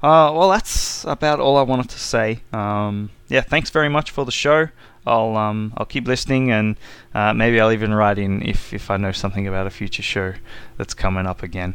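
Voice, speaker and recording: With an Australian accent, a man talks at a moderate pace in a fairly low pitch with ordinary pitch variation. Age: 30s. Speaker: listener leaving a voicemail. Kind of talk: voicemail message.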